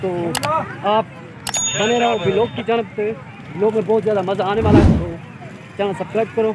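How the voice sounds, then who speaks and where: Over loud background noise, a man speaks at a moderate pace with ordinary pitch variation, the sound dry with no echo. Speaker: vlogger host. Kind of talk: casual vlog chat. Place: street. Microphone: phone near.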